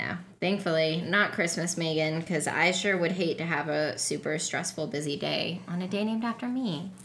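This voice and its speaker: In a plain, everyday voice, the speaker keeps a moderate pace with hardly any pauses and ordinary pitch variation. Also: woman, fairly low pitch for a woman. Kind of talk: casual chat.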